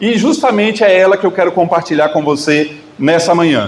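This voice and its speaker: Over noticeable background noise and audible room echo, a man with a Bahian accent talks at a moderate pace with ordinary pitch variation. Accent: Northeastern Brazilian (Bahia). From Northeast Brazil, Bahia. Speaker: guest preacher. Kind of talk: sermon. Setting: church.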